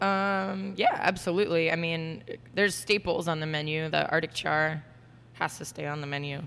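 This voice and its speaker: A woman with a plain, everyday voice speaks in an American accent at a moderate pace and fairly low pitch. Her intonation is fairly even, but her loudness swings widely. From Florida, US. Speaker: executive chef. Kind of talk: casual interview. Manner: casual, filler-heavy.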